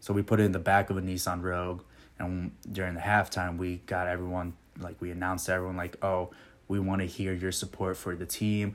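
On a very clean recording with a silent background, a man with a very deep, low pitch talks at a fairly quick pace in a monotone, flat intonation. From Michigan (Okemos), born in Puerto Rico. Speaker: advertising account executive. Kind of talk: interview.

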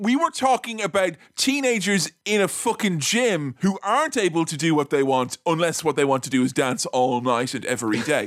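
Animated and playful, a man with a high pitch talks at a moderate pace, his pitch swinging very widely. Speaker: podcast host. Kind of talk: casual comedic banter. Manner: animated, playful.

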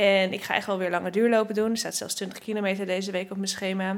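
This woman, medium in pitch, speaks at a very fast pace. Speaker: vlogger and runner, podcast host. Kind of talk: casual chat and interview. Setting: at a kitchen table at home.

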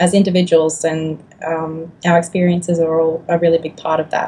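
In an Australian accent, a woman speaks at a moderate pace in a dark, mellow tone that is somewhat breathy. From Australia, Griffith NSW, now Melbourne. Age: 20s. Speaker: YouTuber, tarot reader. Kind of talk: casual chat interview. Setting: remote call.

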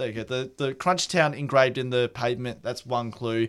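A man talks at a fairly quick pace in a normal speaking voice, medium in pitch with ordinary pitch variation, on a very clean recording with a silent background. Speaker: radio co-host. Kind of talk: casual banter with co-host, joking back-and-forth. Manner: laid-back, chatty, laughing.

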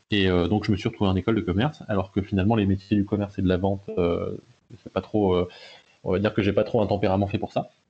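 Very fast and somewhat breathy, a man's fairly low voice stays monotone and flat, with very even loudness. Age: 20s. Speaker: blockchain consultancy founder. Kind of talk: interview.

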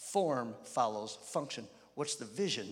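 A man speaks in a warm tone. His pitch swings very widely. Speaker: guest preacher. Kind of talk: sermon to a live congregation. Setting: church with audience. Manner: animated, call-and-response, urgent; warm, humorous, exhorting.

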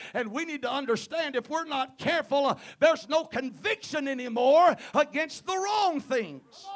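An animated man at an extremely high pitch, with a Southern US accent, a moderate pace and ordinary pitch variation. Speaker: guest preacher. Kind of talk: sermon. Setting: church.

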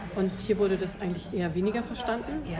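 Over noticeable background noise and audible room echo, a woman talks at a fairly quick pace at a medium pitch with ordinary pitch variation. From Germany. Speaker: musician and music school director. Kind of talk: interview. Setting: café.

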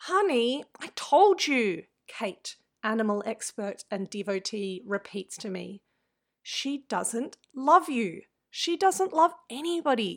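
In an Australian accent, a woman speaks at a very slow pace with a fairly high pitch, very wide pitch swings and big swings in loudness. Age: 30s. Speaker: activist and writer. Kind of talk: reading aloud.

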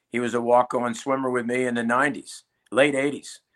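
In a very clean recording with a silent background, a man with an American accent talks at a moderate pace in a medium pitch with a bright, sharp tone. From Philadelphia, US Northeast. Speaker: retired college swim coach. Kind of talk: casual interview.

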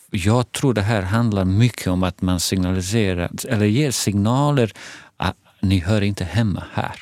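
A man's fairly low voice with a Bosnian accent, moderate pace and ordinary pitch variation, on a very clean recording with a silent background. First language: Bosnian (speaking Swedish). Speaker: head of a Roma information centre. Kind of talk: casual conversation. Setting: studio.

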